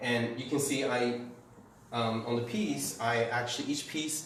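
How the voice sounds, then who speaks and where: A man with a Canadian accent speaks at a moderate pace and medium pitch, his intonation fairly even, over noticeable background noise with audible room echo. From Taiwan, moved to Canada at about nine. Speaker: artist, printmaker and paper maker. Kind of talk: artist talk and gallery tour. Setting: art gallery, live-streamed. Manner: casual, halting with many fillers.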